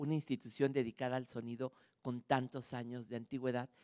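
Over a quiet background, a man speaks at a fairly quick pace with monotone, flat intonation. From Mexico. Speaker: archive director and music scholar; conference speaker. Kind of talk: lecture. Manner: halting; warm. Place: stage. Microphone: handheld.

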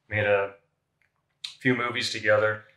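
A man speaking at a fairly slow pace, with audible room echo and a quiet background. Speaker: personal trainer. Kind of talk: interview answer. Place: gym. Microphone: camera far.

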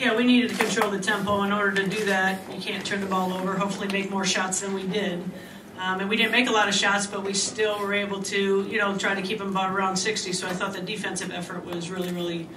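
Against noticeable background noise, a woman talks at a very fast pace in a monotone, flat intonation. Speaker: basketball head coach. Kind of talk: interview answer. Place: hall. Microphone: podium.

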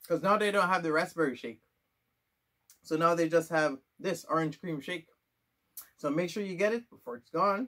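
Against a quiet background, a man with a high pitch and a bright, sharp tone talks at a moderate pace with ordinary pitch variation, big swings in loudness and long, frequent pauses. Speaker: food reviewer / YouTuber. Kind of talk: casual video review, tasting test. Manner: animated, upbeat, chatty. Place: home room. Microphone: camera far.

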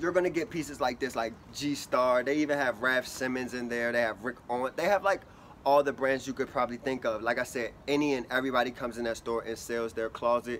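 A man talks at a fairly quick pace with ordinary pitch variation over light background noise. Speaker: fashion vlogger. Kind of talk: casual vlog chat. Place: street. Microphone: phone near.

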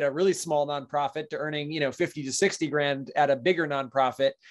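A man with an ordinary speaking voice talks at a fairly quick pace in a fairly high pitch, his intonation fairly even against a quiet background. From Maine, US. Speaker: real estate investor and property manager; podcast guest. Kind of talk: podcast interview. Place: home room. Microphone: webcam.

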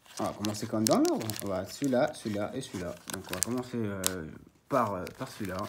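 A man with a fairly low voice talks at a fairly quick pace over noticeable background noise. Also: ordinary pitch variation. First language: Italian (speaking French). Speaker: card collector YouTuber. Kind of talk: casual unboxing video. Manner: halting, many fillers and repetitions. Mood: a bit nervous, first video. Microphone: phone near.

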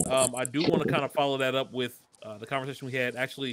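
A man is speaking. Light background noise is audible. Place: home room.

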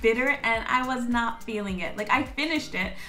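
A woman talks in a raised, projected voice at a fairly slow pace. Faint music plays in the background. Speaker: vlogger. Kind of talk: casual vlog chat. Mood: animated, playful. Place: home room. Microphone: phone near.

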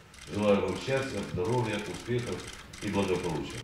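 Against noticeable background noise and audible room echo, a man with a fairly low voice speaks at a moderate pace with ordinary pitch variation. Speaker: official addressing teachers. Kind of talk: formal congratulatory speech. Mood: solemn, grateful. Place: hall.

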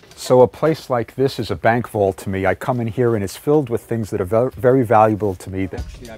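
Faint music plays in the background as a man talks at a fairly quick pace with hardly any pauses, ordinary pitch variation and a dry sound with no echo. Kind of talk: documentary interview chat. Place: shop. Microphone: lapel.

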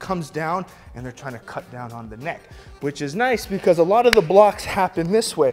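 Faint music sits in the background. A man speaks at a moderate pace. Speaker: kickboxing instructor. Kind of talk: tutorial. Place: gym.

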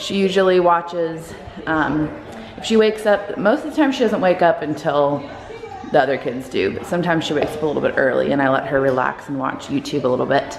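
Against noticeable background noise, a woman talks at a very fast pace and a fairly low pitch. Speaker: parent vlogger. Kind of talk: casual vlog chat. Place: home room. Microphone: phone near.

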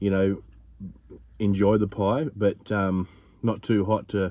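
The pace is fairly slow and the tone slightly mellow. Intonation stays fairly even. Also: man.

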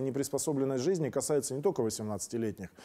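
This man's voice has a dark, mellow tone. His pitch varies in an ordinary way over a quiet background. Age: 50s. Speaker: political talk show host. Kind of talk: monologue commentary. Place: studio. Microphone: lapel.

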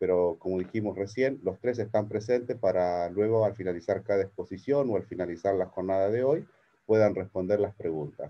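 This is an ordinary speaking voice. The intonation is fairly even and the pace moderate. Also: man. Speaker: webinar host. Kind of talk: event introduction. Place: office. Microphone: video call.

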